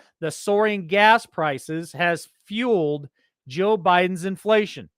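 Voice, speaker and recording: This man has a high pitch, an American accent and ordinary pitch variation, speaking at a fairly slow pace. The sound is dry and close with no echo, in a very clean recording with a silent background. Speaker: political commentary show host. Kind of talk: news commentary. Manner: loud, yelling; animated.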